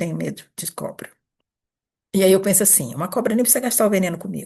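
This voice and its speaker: Speaking very fast, a woman uses a medium pitch, lively intonation, and a dark, mellow tone with vocal fry. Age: 60s. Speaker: therapist / coach running an institute. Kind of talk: informal talk answering a group question. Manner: conversational, with hesitations and repetitions.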